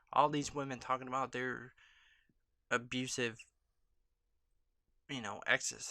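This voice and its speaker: The speaker is soft-spoken. The pace is moderate. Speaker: YouTube vlogger. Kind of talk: casual vlog monologue. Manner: hesitant, many filler ums.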